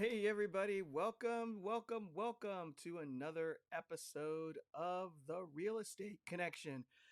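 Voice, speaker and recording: The speaker sounds upbeat, moving at a fairly slow pace with hardly any pauses and ordinary pitch variation, in a dry, close sound with no echo. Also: man, high pitch for a man. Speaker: real estate podcast host. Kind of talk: podcast monologue.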